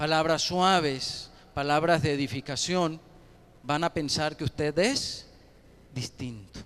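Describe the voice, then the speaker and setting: Someone speaks at a very slow pace on a very clean recording with a silent background. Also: man. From Colombia, Ocaña (Norte de Santander). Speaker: pastor. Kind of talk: sermon.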